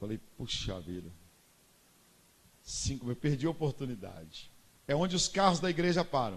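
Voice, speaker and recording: A man with a fairly high pitch and vocal fry, at a moderate pace with very wide pitch swings and long, frequent pauses. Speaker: pastor. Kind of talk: sermon.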